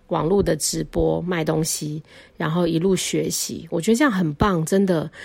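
Fairly low in pitch, a woman speaks with vocal fry and fairly even intonation. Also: moderate pace. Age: 40s. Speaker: podcast host, stay-at-home mother. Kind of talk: casual solo monologue.

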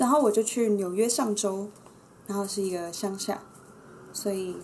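Audible room echo surrounds a woman talking at a moderate pace and a medium pitch. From Taiwan. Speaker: entrepreneur, former New York club worker. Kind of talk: casual chat.

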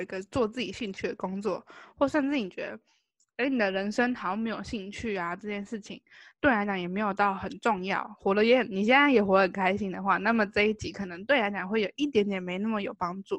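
Against a quiet background, a woman talks at a fairly quick pace, her medium pitch showing ordinary variation. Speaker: podcast co-host. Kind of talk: casual chat.

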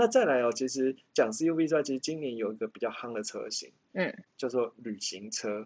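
A man with a Taiwanese accent, medium-pitched, fairly quick and lively in intonation, with hardly any pauses. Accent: Taiwanese-accented English words. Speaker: car podcast host. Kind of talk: casual chat.

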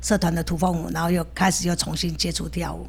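A woman's voice with audible room echo. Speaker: dance teacher and food shop owner. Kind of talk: casual interview.

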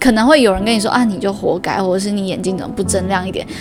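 Medium pitch from a woman, with music in the background. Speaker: podcast host. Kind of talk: solo podcast monologue. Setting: home room recording.

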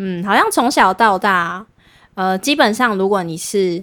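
A woman uses an ordinary speaking voice, medium in pitch, with ordinary pitch variation and a fairly slow pace. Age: 20s. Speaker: podcast co-host. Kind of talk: casual chat.

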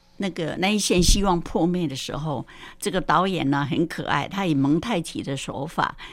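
A normal speaking voice from a woman, fairly low in pitch with lively intonation at a fairly slow pace, on a very clean recording with a silent background. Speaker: retired primary school teacher. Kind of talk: film commentary.

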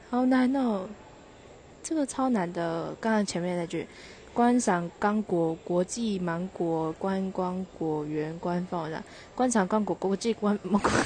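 A woman in a Taichung accent speaks at a very slow pace, her voice somewhat breathy. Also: medium pitch for a woman, ordinary pitch variation. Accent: Taichung Mandarin. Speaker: podcaster. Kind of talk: casual monologue. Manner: laughing, halting.

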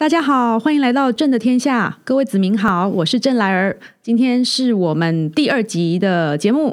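On a very clean recording with a silent background, a woman with a fairly high pitch talks with very wide pitch swings, very even loudness and hardly any pauses. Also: moderate pace. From southern Taiwan. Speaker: podcast host. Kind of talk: casual interview chat.

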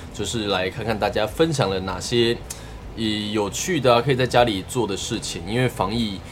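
A man with a Taiwanese accent talks at a moderate pace in a fairly low pitch. His pitch varies in an ordinary way, with noticeable background noise. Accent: Taiwanese Mandarin. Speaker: podcast host. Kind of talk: casual chat. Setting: remote call with co-host.

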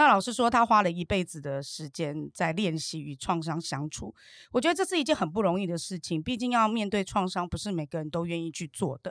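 A woman's fairly low, animated voice with lively intonation at a fairly quick pace, dry and close with no echo. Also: hardly any pauses, very clean recording, silent background. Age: 50s. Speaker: entrepreneur and course student. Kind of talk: interview.

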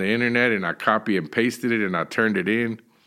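With a Texan accent, a man talks at a very fast pace in a bright, sharp tone of medium pitch, his pitch varying in an ordinary way on a very clean recording with a silent background. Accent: Texan American. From Texas (Dallas). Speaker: minister and addiction counselor. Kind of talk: interview, personal testimony. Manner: frequent fillers and repetitions.

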